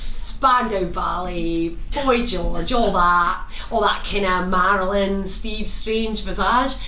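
A woman speaks at a very slow pace with ordinary pitch variation. Light background noise and audible room echo fill the recording. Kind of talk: theatrical monologue. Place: stage. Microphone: camera far.

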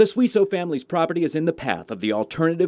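A man with an American accent talks at a very fast pace, his pitch making very wide swings. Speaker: television news reporter. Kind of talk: TV news reporter package and live stand-up.

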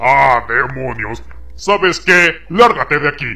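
Using a cartoonish character voice, a man speaks at a medium pitch. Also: fairly slow pace. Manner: grandiose, then irritated shouting.

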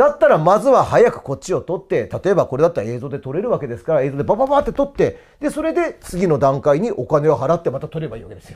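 The voice races at a very fast pace with hardly any pauses, very wide pitch swings and big swings in loudness, all against a quiet background. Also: man, high pitch for a man. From Japan. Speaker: cram school history teacher; cram school teacher. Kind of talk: promotional talk about courses. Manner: animated. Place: classroom. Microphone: lapel.

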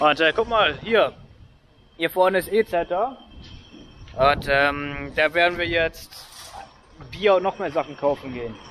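This man's voice is high-pitched, and his intonation is lively. He speaks at a fairly slow pace over light background noise. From northern Germany, Lüneburg Heath; northern Germany. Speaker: hiking vlogger. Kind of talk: vlog narration while hiking. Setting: outdoors. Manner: halting, many fillers. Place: street. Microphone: phone near.

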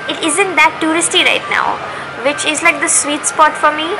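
A woman speaks in a raised, projected voice at a moderate pace. Noticeable background noise runs underneath. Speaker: travel vlogger. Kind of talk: casual vlog chat. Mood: excited, cheerful. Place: station. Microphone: phone near.

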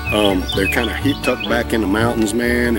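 Clear music plays behind a man, and his voice sounds dry with no echo. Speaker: beer reviewer. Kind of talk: casual vlog chat. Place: garden.

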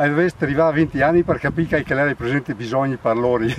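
At a very fast pace, a man with a Belluno accent speaks at a fairly high pitch with ordinary pitch variation. The sound is dry with no echo, over light background noise. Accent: local Agordino dialect. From Italy, Agordino area of Belluno (Veneto Dolomites); Veneto, Italy. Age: 70s. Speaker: retired hospitality worker and hay farmer. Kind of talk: casual storytelling; casual storytelling while working. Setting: outdoors in mountain meadows. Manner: talks nonstop. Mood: cheerful, joking. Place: open country.

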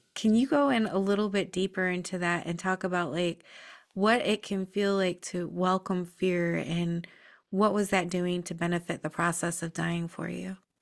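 The woman's delivery has fairly even intonation. She keeps a moderate pace against a quiet background. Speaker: podcast host. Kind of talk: interview. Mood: warm, calm, curious. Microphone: webcam.

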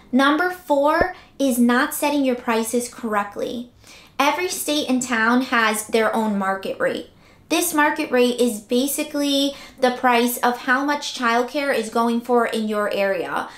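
A woman speaks in a high voice at a fairly slow pace. The room gives an audible echo. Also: ordinary pitch variation. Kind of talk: tutorial. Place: home room.

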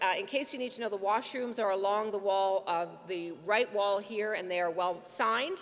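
Her pitch varying in an ordinary way, a woman talks at a moderate pace. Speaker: event moderator. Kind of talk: event hosting announcements. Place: hall. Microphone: podium.

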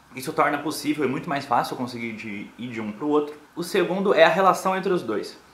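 Echo from the room can be heard. A man speaks at a moderate pace. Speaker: vlogger. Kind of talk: casual vlog chat. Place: home room. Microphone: phone near.

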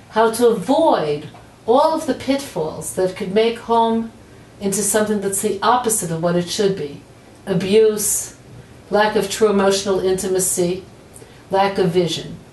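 Room echo is audible as a woman talks at a moderate pace with ordinary pitch variation. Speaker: teacher. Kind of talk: promotional address to camera. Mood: warm, smiling. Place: office.

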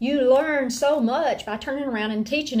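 A woman talks with an Appalachian accent. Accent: Appalachian Southern US. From northwest Georgia, Appalachia. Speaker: homeschool teacher and mother. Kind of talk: lecture. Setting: at home, rain on tin roof. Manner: animated, chatty. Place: home room. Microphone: webcam.

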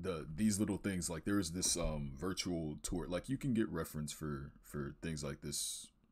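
Vocal fry marks a man's voice, which has ordinary pitch variation over a quiet background. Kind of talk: casual portfolio walkthrough commentary.

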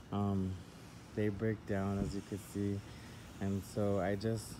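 Loud background noise sits behind the voice. A man speaks at a fairly slow pace. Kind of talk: casual vlog chat. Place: garden. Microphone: phone near.

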